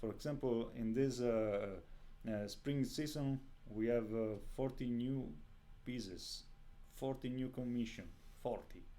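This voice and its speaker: Speaking in an Italian accent, a man uses a dark, mellow tone at a fairly slow pace, with long, frequent pauses and audible room echo. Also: medium pitch for a man, fairly even intonation. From Italy. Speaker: composer. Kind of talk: interview. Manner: halting.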